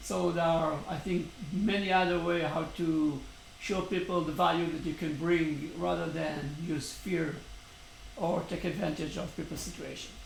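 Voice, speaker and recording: Over noticeable background noise and audible room echo, a man with a fairly high pitch talks at a moderate pace with fairly even intonation. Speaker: startup founder vlogger. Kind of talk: daily video update monologue. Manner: hesitant, many fillers.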